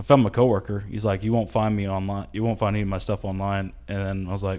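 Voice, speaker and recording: A man talks at a very fast pace with a Southern US accent, his pitch fairly low. His tone is dark and mellow, and his intonation is monotone and flat. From US South. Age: 30s. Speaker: comedian and IT specialist. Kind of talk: casual chat.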